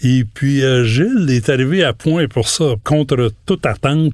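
The speaker has a Quebec accent and talks at a fairly slow pace. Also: man. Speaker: retired journalist. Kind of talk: interview. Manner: halting.

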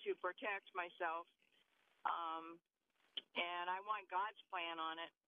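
A woman speaks at medium pitch with fairly even intonation. It is an ordinary speaking voice. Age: 60s. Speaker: caller. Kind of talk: phone-in question. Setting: phone call.

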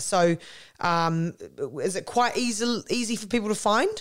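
A woman speaks with a New Zealand accent. Her pitch is fairly high and her pace moderate. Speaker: podcast host. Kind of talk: interview. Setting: remote call.

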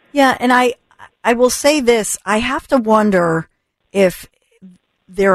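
A woman speaks in a plain, everyday voice at a fairly slow pace, her intonation lively and the sound dry and close with no echo. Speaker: talk radio host. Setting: radio studio.

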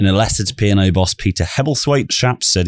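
A British accent delivered at a very fast pace, with a dry, close sound and no echo. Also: man. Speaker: podcast host. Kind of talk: news podcast chat.

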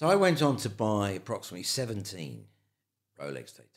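In a London accent, a man talks with vocal fry and very wide pitch swings. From London, England (Pimlico). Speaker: photographer and filmmaker. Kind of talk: interview, life story.

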